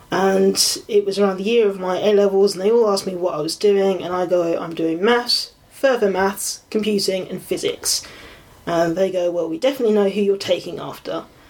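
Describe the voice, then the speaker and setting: There is noticeable background noise as a woman talks at a fairly quick pace. Her pitch is medium and her intonation fairly even. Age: 20s. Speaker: computer science student. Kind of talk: casual interview. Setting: home bedroom recording.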